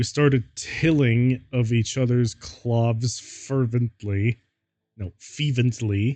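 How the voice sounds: In a natural reading voice with fairly even intonation, the speaker is heard against a quiet background.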